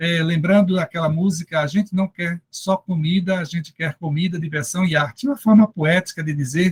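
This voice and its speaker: This man speaks at a high pitch with ordinary pitch variation and a moderate pace. The sound is dry and close, with no echo. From Brazil, Recife (Pernambuco). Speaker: Bible scholar and theology professor. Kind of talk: lecture. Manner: halting, many fillers.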